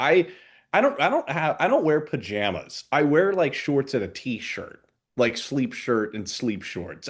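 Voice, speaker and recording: Against a quiet background, a man with a fairly high pitch and vocal fry moves through very wide pitch swings at a moderate pace. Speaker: podcast co-host. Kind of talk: casual chat.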